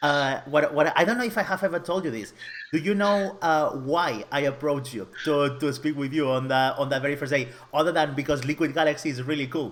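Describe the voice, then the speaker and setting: Speech with a Catalan accent at a fairly quick pace, with ordinary pitch variation. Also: man, fairly high pitch for a man. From Catalonia, Spain. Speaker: web developer. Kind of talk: casual interview. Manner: halting, many repetitions.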